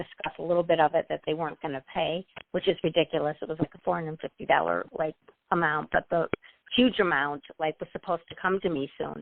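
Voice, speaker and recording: In a put-on character voice, a woman talks very fast in a fairly low, raspy tone with fairly even intonation. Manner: talking very fast.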